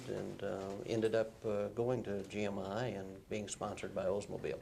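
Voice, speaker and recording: Monotone, flat intonation comes through with audible room echo. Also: man. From Arkansas, rural. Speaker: former automotive engineer. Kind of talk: deposition testimony. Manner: halting, many fillers.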